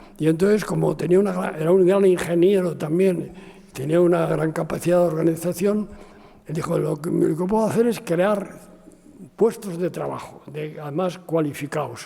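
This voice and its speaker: A man's high-pitched voice at a moderate pace, fairly even in intonation, against noticeable background noise. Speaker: architect. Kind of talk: interview. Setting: university talk with audience. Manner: halting.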